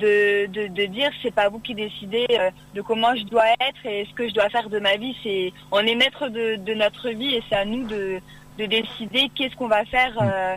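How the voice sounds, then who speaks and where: A woman speaks in a plain, everyday voice with a fairly high pitch. Her pace is moderate and her intonation fairly even. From Oise, Picardy, northern France. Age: 20s. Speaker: beauty pageant winner and student. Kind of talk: radio interview. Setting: phone call.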